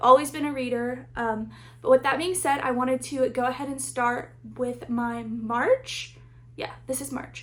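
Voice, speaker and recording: A woman talks at a moderate pace. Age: 20s. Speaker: book vlogger. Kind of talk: casual vlog talk to camera. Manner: chatty, filler words.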